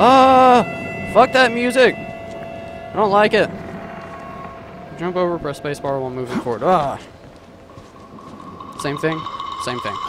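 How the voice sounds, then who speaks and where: Shouting from a man at a fairly slow pace, with big swings in loudness, long, frequent pauses, a dry sound with no echo and noticeable background noise. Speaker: gamer. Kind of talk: let's play commentary. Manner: screams and yells at jump scares. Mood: nervous, jumpy, startled outbursts. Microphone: studio mic.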